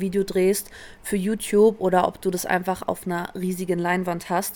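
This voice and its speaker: Her delivery is fairly quick, and this woman speaks in a monotone, flat intonation. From Berlin, Germany. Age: 20s. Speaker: professional dancer and choreographer. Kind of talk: casual interview.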